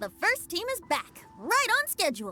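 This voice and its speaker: Over faint background music, a put-on character voice speaks in a cheerful tone at a moderate pace. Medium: video game. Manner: cheerful, breezy.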